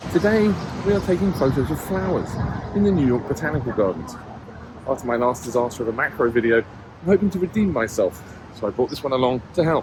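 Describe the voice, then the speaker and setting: Talking at a very fast pace, a man uses a fairly high pitch with very wide pitch swings over noticeable background noise. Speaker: photography vlogger. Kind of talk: vlog to camera. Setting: outdoors in a garden.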